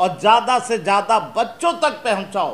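A man is speaking. His pitch is high. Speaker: presenter. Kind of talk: explanatory talk to children. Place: studio.

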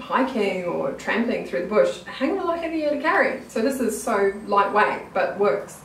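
A woman's medium-pitched voice carries audible room echo.

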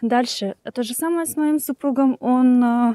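A woman speaks in a high pitch with a dark, mellow tone and ordinary pitch variation, her voice dry with no echo against a quiet background. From Ukraine. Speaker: immigrant vlogger. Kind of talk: casual vlog monologue. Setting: outdoors, walking in a park. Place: open country. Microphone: phone near.

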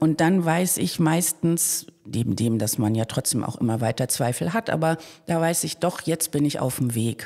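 Her voice very deep and low, a woman talks at a moderate pace with a dark, mellow tone and lively intonation. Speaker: actor. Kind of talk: casual interview chat.

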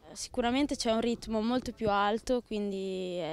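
A woman speaks at a moderate pace with fairly even intonation, and the sound is dry with no echo. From Italy, Romagna (Forlì-Cesena); Romagna, Italy. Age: 20s. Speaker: footballer. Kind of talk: interview. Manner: halting, with repetitions. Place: garden. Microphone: handheld.

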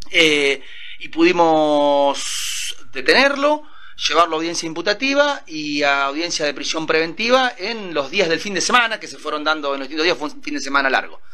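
Light background noise sits under a man's fairly high voice, which shows big swings in loudness. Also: lively intonation, moderate pace. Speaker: prosecutor. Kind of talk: interview. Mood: calm, matter-of-fact. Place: office. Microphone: handheld.

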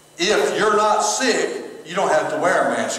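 Audible room echo surrounds a man as he talks. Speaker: pastor. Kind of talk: sermon. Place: church. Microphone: camera far.

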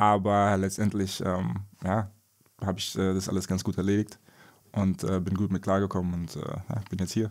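Speaking at a moderate pace with long, frequent pauses, a man uses a very deep, low pitch and a monotone, flat intonation. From Wiesbaden, Germany. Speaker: professional basketball player. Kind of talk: interview.

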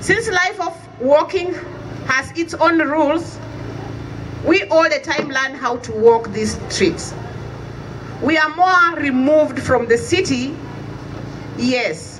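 Long, frequent pauses break up very slow speech with ordinary pitch variation over light background noise. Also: woman, high pitch for a woman. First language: an African language. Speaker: community association representative; speaker. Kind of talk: rally speech. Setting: outdoor vigil with crowd. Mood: grieving, earnest. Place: street. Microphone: camera far.

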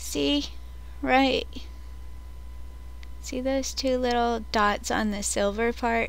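A woman speaks at a very slow pace. The sound is dry, with no echo. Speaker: vlogger. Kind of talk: casual vlog chat. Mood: excited, rambling. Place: home room. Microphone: webcam.

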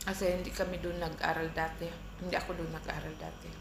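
Noticeable background noise and audible room echo fill the recording. Through them, a woman talks at a fairly quick pace. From Philippines, Mindanao (Bisaya). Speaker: vlogger. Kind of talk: casual vlog storytelling. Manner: casual, eating while talking.

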